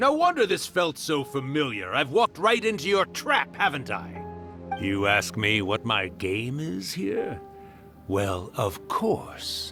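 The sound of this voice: Faint music plays in the background as someone uses a put-on character voice, speaking slowly in a bright, sharp tone with big pitch swings. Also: man, medium pitch for a man.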